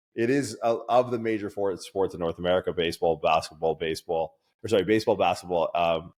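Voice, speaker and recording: Dry and close with no echo, this recording has a man speaking at a very fast pace in a Canadian accent. His pitch is fairly low, with ordinary variation. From Canada. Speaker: strength coach and podcaster. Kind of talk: casual chat.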